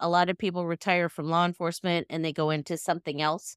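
On a very clean recording with a silent background, a woman with an American accent speaks in a dry, close sound with no echo. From Northern California, Sacramento County. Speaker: retired police dispatcher. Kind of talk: interview testimony.

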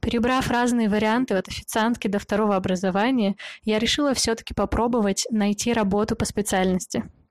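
On a very clean recording with a silent background and a dry, close sound with no echo, a woman with an unremarkable speaking voice and a fairly high pitch talks at a fairly quick pace, with very even loudness and fairly even intonation. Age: 20s. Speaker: podcast host. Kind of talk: scripted monologue.

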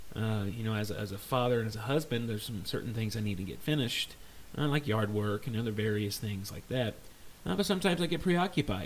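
A man using a normal speaking voice talks fairly quickly at a medium pitch, with lively intonation. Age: 30s. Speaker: podcast host. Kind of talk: casual solo podcast monologue.

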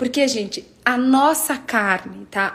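Pitch varies in an ordinary way. Room echo is audible and background noise is noticeable. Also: woman. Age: 30s. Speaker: preacher. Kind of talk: sermon. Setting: livestream.

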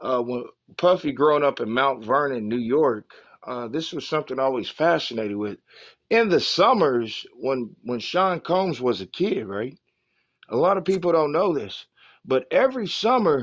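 With an American accent, a man speaks at a moderate pace and fairly high pitch, his pitch swinging very widely against a quiet background. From Oklahoma. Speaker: podcast co-host. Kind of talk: casual chat.

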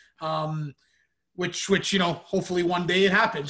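With a Canadian accent, a man speaks in a high pitch. His bright, sharp tone has fairly even intonation. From Canada, Ontario. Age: 20s. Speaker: podcast host and hockey broadcaster. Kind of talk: interview. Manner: halting, many fillers.

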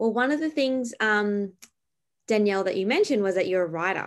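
A woman with an Australian accent, medium pitch, lively intonation, a moderate pace and long, frequent pauses against a quiet background. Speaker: podcast host and ministry founder. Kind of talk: interview.

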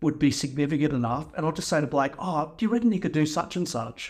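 A man talks with an Australian accent. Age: 50s. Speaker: skate photographer. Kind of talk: casual chat.

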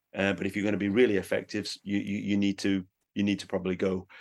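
A man talks at a very fast pace in a monotone, flat intonation with a fairly low pitch. The background is quiet. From northern England, Sheffield. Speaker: pastor and former missionary. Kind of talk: interview. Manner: halting, frequent repetitions and fillers.

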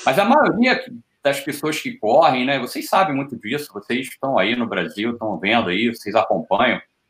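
At a moderate pace, a man speaks in a plain, everyday voice with medium pitch and lively intonation. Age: 50s. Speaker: ultra-distance athlete. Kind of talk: casual chat.

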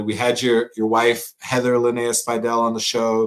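A man is speaking. His pitch is medium. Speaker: chef and podcast host. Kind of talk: casual chat. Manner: animated.

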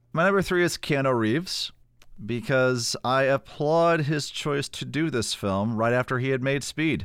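A man at a medium pitch, with ordinary pitch variation, a moderate pace and a very clean recording over a silent background. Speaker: podcast co-host. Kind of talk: casual movie review podcast chat. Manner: animated, joking.

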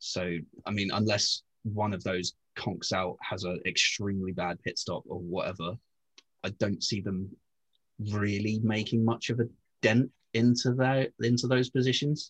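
A man with a fairly low, somewhat breathy voice speaks at a moderate pace with ordinary pitch variation. He leaves long, frequent pauses, and the sound is dry and close with no echo. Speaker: podcast co-host. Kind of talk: casual chat.

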